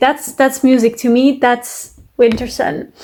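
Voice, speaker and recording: In a French accent, a woman speaks at a high pitch. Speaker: music reaction youtuber. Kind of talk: casual reaction commentary. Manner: halting, many fillers.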